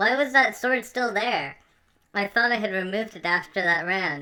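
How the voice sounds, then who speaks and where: A cartoonish character voice at a fairly high pitch and a moderate pace. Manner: grumpy, unenthusiastic.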